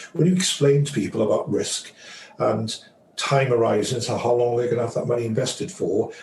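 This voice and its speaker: Amid noticeable background noise, a man with an English accent talks at a moderate pace. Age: 60s. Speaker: financial advisor. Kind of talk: interview.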